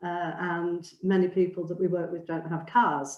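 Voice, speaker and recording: The speaker has a Mancunian accent. The pace is fairly slow. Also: woman. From northern England, near Oldham. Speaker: charity co-founder, seminar speaker. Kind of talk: presentation with slides. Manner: hesitant, many fillers.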